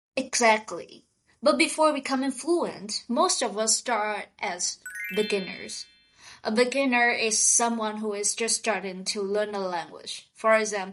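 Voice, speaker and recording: Music plays in the background as a woman with a Vietnamese accent speaks at a fairly slow pace, her fairly high pitch showing ordinary variation. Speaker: podcast co-host. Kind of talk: scripted vocabulary lesson dialogue.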